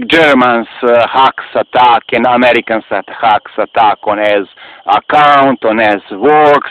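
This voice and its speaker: The speech moves at a very slow pace. Noticeable background noise can be heard. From Serbia. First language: Serbian. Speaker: video blogger. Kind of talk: personal appeal to camera. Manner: halting.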